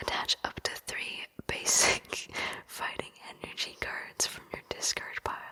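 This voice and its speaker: The whispering moves at a fairly slow pace. There is noticeable background noise. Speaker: ASMR creator. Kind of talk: ASMR whisper talk. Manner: whispered; soft-spoken.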